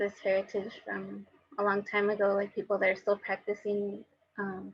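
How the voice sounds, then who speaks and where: A woman's medium-pitched voice in a Spanish accent. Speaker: painter, artist. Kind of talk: panel discussion. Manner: halting, many filler words.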